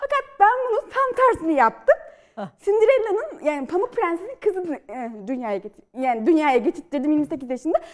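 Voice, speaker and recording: Against a quiet background, a woman speaks at a moderate pace with an extremely high pitch and very wide pitch swings. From Central Anatolia, Turkey (Polatlı, Ankara); Central Anatolia, Turkey. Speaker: novelist and screenwriter; guest. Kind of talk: studio interview. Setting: TV studio. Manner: lively; hesitant with fillers. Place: studio. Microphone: lapel.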